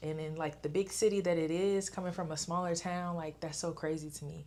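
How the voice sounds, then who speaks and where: This woman has an American accent and a medium pitch. She talks at a fairly quick pace. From US South, Augusta, Georgia. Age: 20s. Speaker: content creator. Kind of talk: casual vlog talk to camera. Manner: animated.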